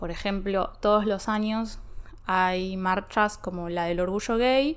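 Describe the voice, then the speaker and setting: The speaker talks at a very slow pace with fairly even intonation, in a Rioplatense accent. The recording is very clean and the background silent. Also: woman. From Buenos Aires, Argentina. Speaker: Spanish teacher. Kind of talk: language-learning podcast talk.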